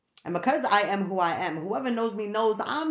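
A woman speaks with a fairly high pitch. Her intonation is lively. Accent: New York. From New York. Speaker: podcast host. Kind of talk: casual solo podcast monologue. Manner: chatty, laughs often.

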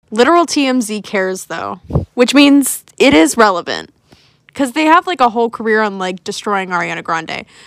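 A woman with a fairly high voice speaks at a moderate pace, her pitch swinging very widely. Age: young. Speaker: podcast co-host. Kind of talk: casual chat.

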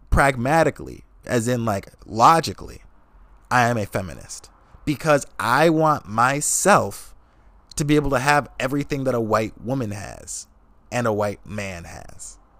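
Lively intonation and vocal fry mark this man's speech, delivered in an American accent. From Wisconsin, US. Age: 20s. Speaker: podcast host and magician. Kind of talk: casual solo monologue, unfiltered. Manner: casual, profane, conversational; soft, relaxed tone.

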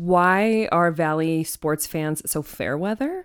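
A woman's fairly low-pitched voice, a normal speaking voice, with ordinary pitch variation on a very clean recording against a silent background. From Arizona, Phoenix area (Ahwatukee). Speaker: journalist and podcast host. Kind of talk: casual interview chat. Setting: studio.

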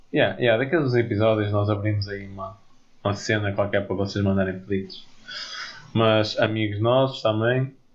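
Amid audible room echo, a man with a fairly low, somewhat breathy voice speaks at a moderate pace. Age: 20s. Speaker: podcast co-host, engineering student. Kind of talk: casual chat.

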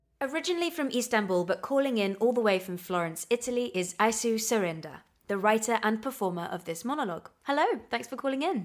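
A woman's fairly high voice with very wide pitch swings at a very fast pace, on a very clean recording with a silent background. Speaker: podcast host. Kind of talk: podcast hosting and casual chat.

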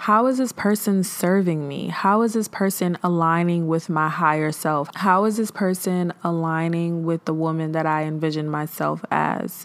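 A woman talks in an ordinary speaking voice, fairly low in pitch, with ordinary pitch variation. She keeps a moderate pace with hardly any pauses. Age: 20s. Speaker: podcast host. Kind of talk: casual solo monologue on mental health. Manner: conversational, filler-heavy.

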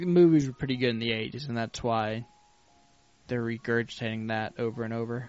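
With fairly even intonation and a medium pitch, a man talks while music plays in the background. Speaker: podcast co-host. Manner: jovial, sounds like having a good time.

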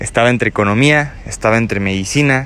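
With a Mexican accent, a man speaks at a fairly quick pace and uses ordinary pitch variation. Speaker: podcaster. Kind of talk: personal monologue. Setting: outdoors.

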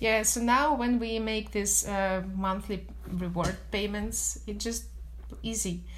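Fairly slow speech from a woman, plus audible room echo. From Russia, Moscow. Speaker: business development executive. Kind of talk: interview.

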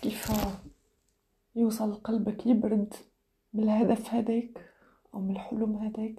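A woman with an Algerian accent, fairly high in pitch, at a fairly slow pace with long, frequent pauses. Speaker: podcaster. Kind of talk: reflective monologue. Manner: halting.

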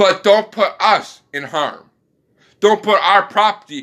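With an American accent, a man delivers a raised, projected voice in a bright, sharp tone at a moderate pace, captured in a very clean recording with a silent background. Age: 20s. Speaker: podcaster. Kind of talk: solo monologue rant. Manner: rambling with frequent fillers.

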